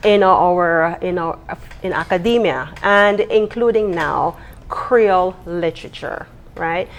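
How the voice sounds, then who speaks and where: A woman talks at a very slow pace. Her pitch is medium, with ordinary variation. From Belize. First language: Belize Kriol. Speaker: university lecturer and writer. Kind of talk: TV interview.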